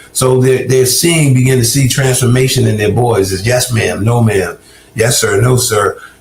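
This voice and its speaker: Over noticeable background noise, a man with an American accent speaks at a medium pitch with fairly even intonation and very even loudness. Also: moderate pace. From US South, Augusta, Georgia. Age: 60s. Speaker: recovered addict turned ministry worker. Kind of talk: interview testimony. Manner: halting, frequent repetitions.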